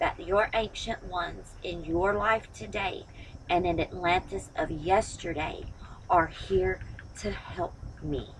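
A woman's fairly slow speech over light background noise. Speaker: tarot reader. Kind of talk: tarot reading to camera. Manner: firm, motherly pep talk. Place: home room. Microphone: phone near.

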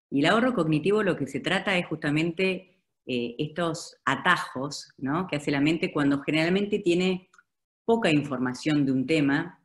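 A woman with a very deep, low pitch and an Argentine accent, moderate pace, ordinary pitch variation, quiet background. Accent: Argentine Spanish (Rioplatense). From Argentina. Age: 50s. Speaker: advertising executive; speaker. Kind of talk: webinar presentation. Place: home room. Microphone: video call.

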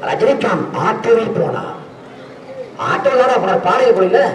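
Over light background noise and audible room echo, a man talks in an extremely high pitch with ordinary pitch variation. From Tamil Nadu, India. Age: 20s. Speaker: political activist; speaker. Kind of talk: protest rally speech. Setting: outdoor protest rally. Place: street.

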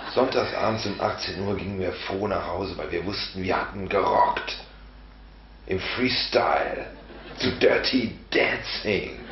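A man speaks at a very slow pace, with audible room echo and light background noise. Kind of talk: comic storytelling to camera. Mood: ironic, boastful. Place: home room.

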